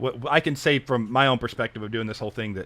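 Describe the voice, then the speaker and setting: With ordinary pitch variation and a medium pitch, this man has an unremarkable speaking voice. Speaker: voice teacher. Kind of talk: casual interview chat.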